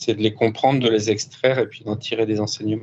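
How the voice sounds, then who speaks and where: Monotone and flat in intonation, the man talks at a moderate pace with a medium pitch. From France. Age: 50s. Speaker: former offshore sailor turned business coach. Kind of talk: interview. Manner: hesitant, many fillers.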